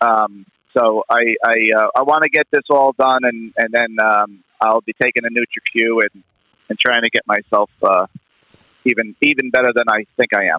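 At a moderate pace, the voice keeps a fairly even intonation but swings widely in loudness. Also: man, medium pitch for a man. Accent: New York. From New York. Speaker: caller. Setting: phone call.

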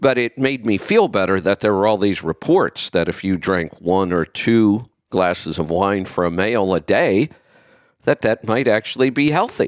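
Heard in a very clean recording with a silent background and a dry, close sound with no echo, a man with a plain, everyday voice and a fairly low pitch talks at a moderate pace with lively intonation and very even loudness. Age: 50s. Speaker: podcast host, health commentator. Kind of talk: solo commentary.

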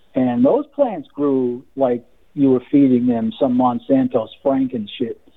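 In an American accent, a man with a medium-pitched voice speaks fairly slowly with monotone, flat intonation. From Massachusetts. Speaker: caller. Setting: phone call.

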